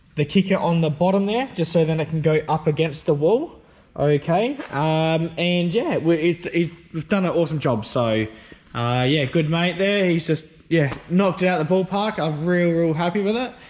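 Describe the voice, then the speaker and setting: Here a man with an Australian accent speaks at a moderate pace in a high pitch. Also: ordinary pitch variation. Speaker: car and stereo vlogger. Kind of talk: casual video vlog. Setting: workshop. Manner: loud; hesitant, many fillers.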